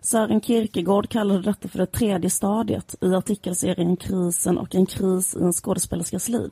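Somewhat breathy, this voice has a dark, mellow tone and lively intonation, recorded with a dry, close sound with no echo. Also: woman. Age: 30s. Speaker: podcast co-host. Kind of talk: casual chat.

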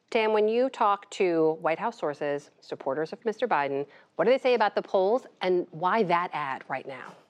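A woman talks at a moderate pace in an unremarkable speaking voice. Her intonation is lively. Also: medium pitch for a woman. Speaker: news anchor. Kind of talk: news interview.

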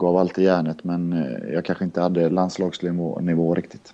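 A man with a very deep, low pitch and a dark, mellow tone speaks at a fairly slow pace. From Linköping, Östergötland, then Kungsbacka area near Gothenburg from age nine. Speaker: handball coach, former player. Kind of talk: casual chat.

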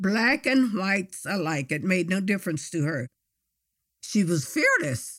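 A woman's medium-pitched voice with very wide pitch swings, a fairly slow pace and long, frequent pauses, on a very clean recording with a silent background. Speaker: granddaughter telling family history. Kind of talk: elder life story, reminiscing storytelling. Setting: StoryCorps interview booth. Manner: warm, measured, proud.

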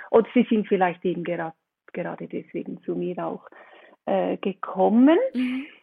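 A woman speaks with a Swiss accent at a moderate pace. Her loudness swings widely. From Switzerland. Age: 50s. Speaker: relaxation coach, trained nurse. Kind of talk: interview podcast.

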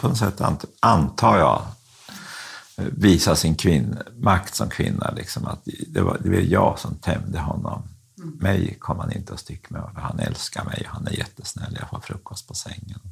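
Against noticeable background noise, a man with a very deep, low pitch speaks at a fairly slow pace, his pitch swinging very widely and his loudness rising and falling in big swings. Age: 60s. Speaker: convicted fraudster, former publisher. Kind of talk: interview.

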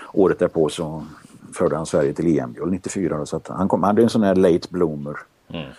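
Very deep and low, a man's dark, mellow voice with vocal fry moves at a fairly quick pace with ordinary pitch variation. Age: 60s. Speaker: retired handball journalist. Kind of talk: casual chat.

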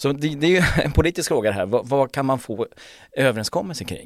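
A man at a fairly quick pace, with a fairly high pitch and very wide pitch swings, on a very clean recording with a silent background and a dry, close sound with no echo. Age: 60s. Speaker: financial journalist and author. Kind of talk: casual discussion.

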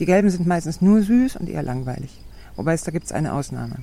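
In a fairly low voice, a woman talks very fast with lively intonation. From southern Germany and Switzerland. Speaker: tomato grower. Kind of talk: casual interview. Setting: outdoors on a farm.

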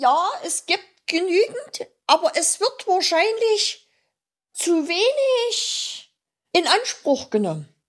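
The speech moves at a very slow pace, with very wide pitch swings and long, frequent pauses. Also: woman, extremely high pitch for a woman. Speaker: author and awareness advocate. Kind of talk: interview. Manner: halting, with many repeated words.

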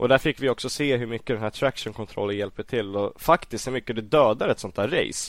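A man with a plain, everyday voice talks at a fairly quick pace at medium pitch, with ordinary pitch variation, hardly any pauses and a dry, close sound with no echo. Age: 20s. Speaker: MotoGP commentator and former racer. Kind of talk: casual chat.

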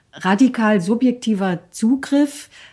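Somewhat breathy, a woman's voice has a fairly high pitch, a dark, mellow tone and ordinary pitch variation. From eastern Germany, Lusatia (Hoyerswerda, Saxony). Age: 50s. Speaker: author and documentary filmmaker. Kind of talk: interview.

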